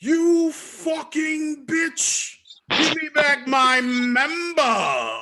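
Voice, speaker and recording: Using a put-on character voice in a British accent, a man speaks at an extremely high pitch and a very slow pace. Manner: outraged, shouting.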